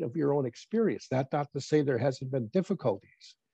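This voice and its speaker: A man with an American accent speaks at a moderate pace, his fairly high voice dark, mellow and somewhat breathy, with lively intonation. The sound is dry and close, with no echo. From northern Wisconsin, Lake Superior region. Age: 70s. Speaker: Native elder and former college teacher. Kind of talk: interview. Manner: halting, with false starts.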